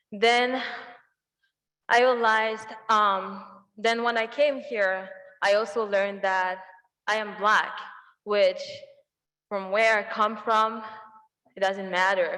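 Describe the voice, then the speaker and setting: In a room with audible echo, a woman with a bright, sharp tone speaks very slowly and with fairly even intonation, leaving long, frequent pauses. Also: fairly high pitch for a woman. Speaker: university student speaker. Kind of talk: personal testimony speech.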